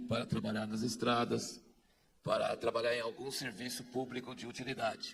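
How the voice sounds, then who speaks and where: At a moderate pace, a man talks in a medium pitch with a normal speaking voice. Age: 60s. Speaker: conference speaker. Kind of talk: speech to an audience.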